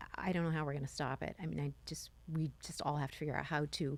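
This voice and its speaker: Very deep and low in pitch, a woman speaks with ordinary pitch variation in a very clean recording with a silent background. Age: 60s. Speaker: podcast host. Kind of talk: interview conversation.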